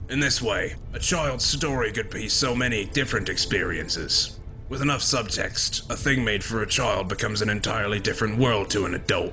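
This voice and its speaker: A cartoonish character voice in a calm tone goes at a fairly quick pace with hardly any pauses over clear background noise. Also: man, medium pitch for a man. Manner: measured, calm, lofty.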